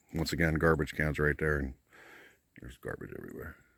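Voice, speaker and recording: At a very fast pace, a man talks with vocal fry in a very deep, low voice, keeping his intonation fairly even. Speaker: outdoor vlogger, RV camper. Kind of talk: casual vlog narration. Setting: outdoors.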